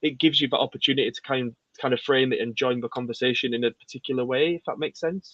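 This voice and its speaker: With a Yorkshire accent, a man talks at a very fast pace with fairly even intonation. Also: medium pitch for a man. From Yorkshire, England. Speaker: poet. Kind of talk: casual interview chat.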